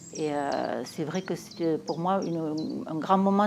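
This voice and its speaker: A woman talks in a very deep, low voice. Her pitch varies in an ordinary way. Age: 70s. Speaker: somatic practice group participant. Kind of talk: interview testimony. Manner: halting, many hesitations.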